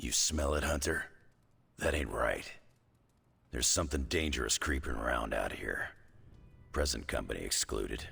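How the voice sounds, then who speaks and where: Doing a put-on character voice, a man sounds raspy and very deep and low in pitch, moving at a moderate pace with long, frequent pauses. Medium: video game. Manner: gruff, blunt.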